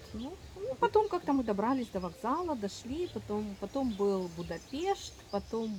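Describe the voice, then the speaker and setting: Her intonation lively, a woman speaks at a very slow pace. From Ukraine. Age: 40s. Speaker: doctor. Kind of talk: interview, personal testimony. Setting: at a festival. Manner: halting.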